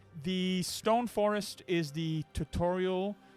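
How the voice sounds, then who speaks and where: A man with a non-native accent speaks with ordinary pitch variation as music plays in the background. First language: not English. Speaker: dungeon master. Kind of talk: casual chat. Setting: live stream. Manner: halting.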